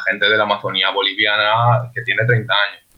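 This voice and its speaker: A man speaks in an unremarkable speaking voice at a medium pitch. His pace is moderate and his intonation fairly even. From Zaragoza, Spain. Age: 20s. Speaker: social worker. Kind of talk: round-table discussion.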